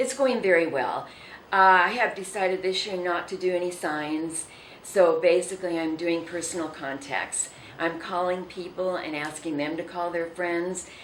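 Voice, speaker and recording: Through noticeable background noise and audible room echo, a woman speaks with an American accent at a fairly low pitch. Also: ordinary pitch variation, moderate pace. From southern California. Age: 70s. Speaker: city mayor. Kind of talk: interview.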